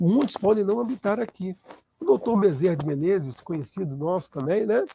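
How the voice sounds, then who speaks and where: Dry and close with no echo, the recording captures a man talking at a moderate pace. His voice is high-pitched and dark, mellow in tone, with lively intonation. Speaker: spiritist lecturer. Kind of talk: lecture.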